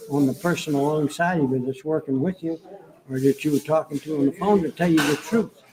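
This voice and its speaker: Over noticeable background noise, a man speaks at a fairly high pitch with ordinary pitch variation. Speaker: military veteran, former air traffic controller. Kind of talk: interview.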